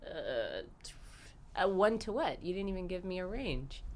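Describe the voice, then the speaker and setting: A woman with an American accent at a fairly slow pace, with long, frequent pauses, big swings in loudness and audible room echo. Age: 20s. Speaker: dancer and instructor. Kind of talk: casual chat.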